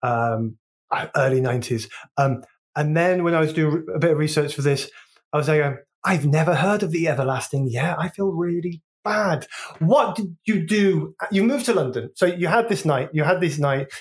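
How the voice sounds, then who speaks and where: Lively intonation at a moderate pace in a West Midlands accent. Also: man, fairly high pitch for a man. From Wolverhampton, England. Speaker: podcast host. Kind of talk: casual interview. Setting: remote recording from Spain.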